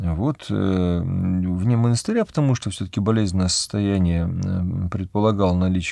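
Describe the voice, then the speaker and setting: The sound is dry, with no echo. The background stays quiet. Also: man. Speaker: Orthodox priest. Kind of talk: religious talk answering a viewer question, personal anecdote. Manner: calm, conversational, explanatory. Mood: calm, reflective. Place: studio.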